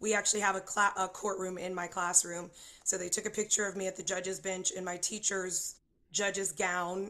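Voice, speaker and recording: Against a quiet background, a woman with an American accent speaks at a moderate pace and medium pitch, her bright, sharp tone carrying a monotone, flat intonation. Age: 40s. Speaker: singer-songwriter and high school teacher. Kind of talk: interview chat at live show.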